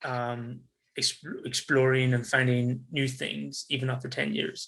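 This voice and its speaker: This man has a Northern Irish accent and speaks at a fairly slow pace. His intonation stays monotone and flat. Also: medium pitch for a man. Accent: soft Northern Irish. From Northern Ireland, Belfast. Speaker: tourism business development specialist, expat. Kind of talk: interview conversation. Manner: hesitant, repeating words.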